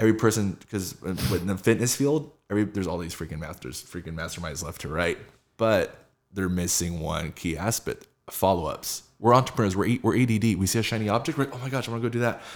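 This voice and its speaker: In an American accent, a man with a fairly low pitch talks at a very fast pace with lively intonation on a very clean recording with a silent background. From Southern California. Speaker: fitness entrepreneur and sales team leader. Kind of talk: casual interview chat.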